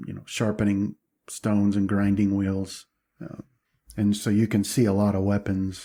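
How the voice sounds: The background is quiet, leaving a natural reading voice.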